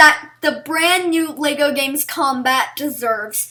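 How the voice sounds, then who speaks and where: A woman's high-pitched, raised and projected voice, bright and sharp in tone, with ordinary pitch variation. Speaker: gaming YouTuber. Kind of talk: video game review. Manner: animated; loud.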